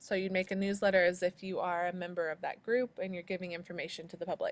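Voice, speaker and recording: Her medium-pitched voice runs at a very fast pace in a monotone, flat intonation. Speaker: high school sociology teacher. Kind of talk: screencast tutorial. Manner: hesitant with many ums.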